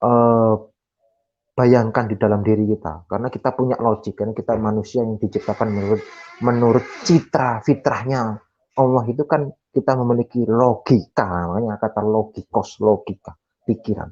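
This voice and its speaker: A man with a Javanese accent speaks at a moderate pace and medium pitch, his intonation fairly even. His tone is dark and mellow, and the sound is dry and close with no echo. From Java, Indonesia. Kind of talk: Q&A explanation in online discussion. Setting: online video meeting, camera off. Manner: hesitant, with many fillers.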